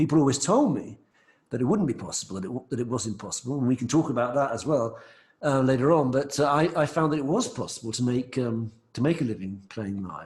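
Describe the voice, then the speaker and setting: A man with an English accent at a very fast pace, medium in pitch, somewhat breathy, with ordinary pitch variation. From England, London. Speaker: singer-songwriter. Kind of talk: interview.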